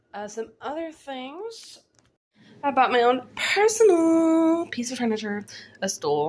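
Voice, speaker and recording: Lively intonation marks this woman's speech. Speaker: vlogger with chronic illness. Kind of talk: video diary. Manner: casual, filler-heavy.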